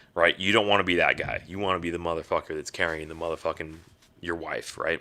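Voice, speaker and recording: Talking at a very fast pace, a man with a very deep, low voice sounds animated, his tone bright and sharp. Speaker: podcast host, military veteran. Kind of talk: casual rant. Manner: halting.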